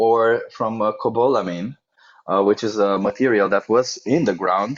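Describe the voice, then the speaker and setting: Speaking with a non-native accent, a man keeps a moderate pace. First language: not English. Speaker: vegan debater, nutritionist. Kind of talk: heated debate. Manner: animated; stumbling over words.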